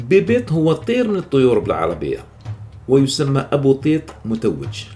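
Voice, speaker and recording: Music plays in the background as a man talks at a fairly slow pace in a fairly high pitch with very wide pitch swings. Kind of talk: educational narration on dialect vocabulary.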